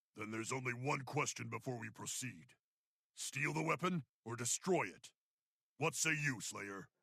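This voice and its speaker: This is a put-on character voice. Long pauses come often. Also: man, medium pitch for a man, moderate pace. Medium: video game. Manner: stern, formal.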